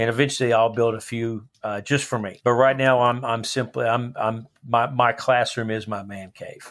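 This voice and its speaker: A man with a Texan accent speaks at a moderate pace with hardly any pauses, his intonation monotone and flat yet his loudness swinging widely, on a very clean recording with a silent background. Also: medium pitch for a man. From Texas, Dallas area. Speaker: high school history teacher and coach. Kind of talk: casual interview.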